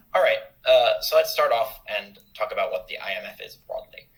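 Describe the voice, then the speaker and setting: A man speaking over noticeable background noise. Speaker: debate workshop speaker. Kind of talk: lecture. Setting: video call. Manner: fast.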